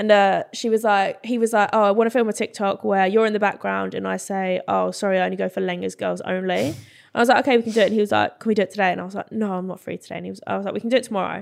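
Very fast speech from a woman with an English accent on a very clean recording with a silent background. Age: 20s. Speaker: social media creator. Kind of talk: casual chat.

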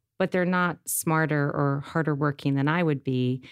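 A woman speaks with an American accent at a moderate pace, with ordinary pitch variation. The recording is very clean, with a silent background and a dry, close sound with no echo. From upstate New York, Rochester. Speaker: pharmaceutical entrepreneur. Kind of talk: interview conversation.

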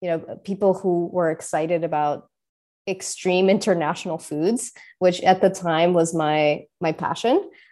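A woman with a Russian accent talks at a moderate pace in a dark, mellow tone. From Russia, moved to New York City at 13. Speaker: entrepreneur. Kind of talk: interview.

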